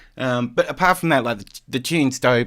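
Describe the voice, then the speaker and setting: The recording is very clean and the background silent. At a moderate pace, a man speaks with an Australian accent. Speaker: DJ. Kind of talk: live stream commentary. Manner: casual, filler-heavy.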